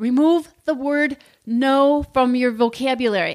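Loud and upbeat, a woman speaks at a high pitch with ordinary pitch variation. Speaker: leadership podcast host. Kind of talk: motivational talk.

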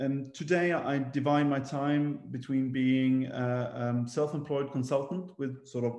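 A man's dark, mellow tone at a medium pitch, fairly slow pace and fairly even intonation. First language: not English.

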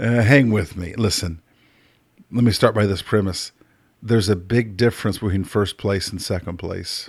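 A man speaks at a moderate pace with a fairly low pitch, a somewhat breathy voice and ordinary pitch variation. The recording is very clean, with a silent background. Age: 50s. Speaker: podcast host, life coach. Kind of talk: casual monologue.

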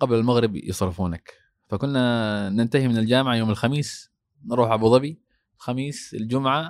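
On a very clean recording with a silent background, a man speaks at a medium pitch in an unremarkable speaking voice. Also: ordinary pitch variation, moderate pace. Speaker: mosque imam. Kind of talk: interview.

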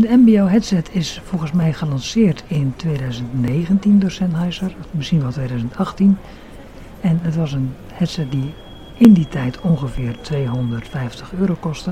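A very slow pace over noticeable background noise. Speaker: podcast host reviewing audio gear. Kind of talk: tech review monologue. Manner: hesitant, many fillers. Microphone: cheap budget microphone.

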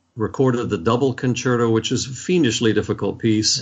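A man with an American accent has an unremarkable speaking voice, a medium pitch, and fairly even intonation. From US, Washington D.C. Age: 60s. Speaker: orchestra conductor. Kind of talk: interview.

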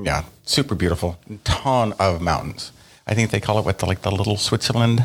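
Fairly low in pitch and somewhat breathy, a man speaks at a fairly quick pace with ordinary pitch variation. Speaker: podcast host. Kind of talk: casual chat. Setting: at a table, recorded together.

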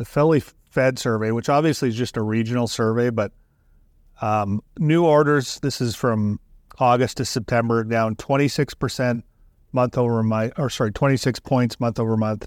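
An ordinary speaking voice: a man of medium pitch talks at a moderate pace with fairly even intonation on a very clean recording with a silent background. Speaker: research director and co-host. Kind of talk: market analysis discussion.

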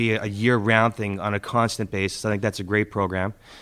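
A man's fairly low-pitched voice in a monotone, flat intonation. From Halifax, Nova Scotia. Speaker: municipal election candidate. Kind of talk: candidates' debate. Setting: public debate with live audience.

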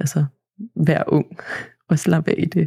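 Somewhat breathy, a woman's very deep, low voice carries a dark, mellow tone and fairly even intonation, with a dry, close sound and no echo. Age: 20s. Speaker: agricultural student. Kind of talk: interview. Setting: studio. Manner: hesitant, many fillers.

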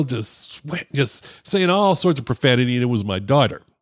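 A man talks in a plain, everyday voice at a medium pitch and a moderate pace. The recording is very clean, with a silent background. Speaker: cigar podcast host. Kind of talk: casual chat.

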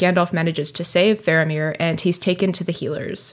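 A woman speaks in a plain, everyday voice. Her pitch is fairly low and her pace is moderate. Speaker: podcast co-host. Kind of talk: casual chat. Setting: remote recording.

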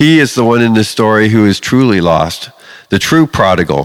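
A man's fairly low voice at a moderate pace, a plain, everyday voice with lively intonation. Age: 50s. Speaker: pastor. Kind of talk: sermon.

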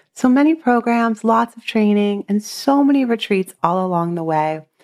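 A woman speaks at a moderate pace in a Californian accent. Her pitch swings very widely, and the sound is dry and close with no echo. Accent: Californian American. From Southern California. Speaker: meditation teacher and podcast host. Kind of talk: podcast self-introduction monologue.

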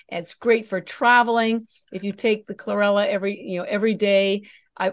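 A woman with an ordinary speaking voice, medium in pitch, with fairly even intonation and a fairly quick pace against a quiet background. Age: 60s. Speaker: algae nutrition company founder. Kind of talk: interview.

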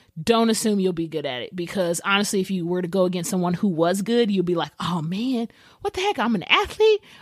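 Woman's ordinary speaking voice at medium pitch, fairly quick in pace with ordinary pitch variation. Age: 30s. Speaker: podcast host and personal trainer. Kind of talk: casual monologue.

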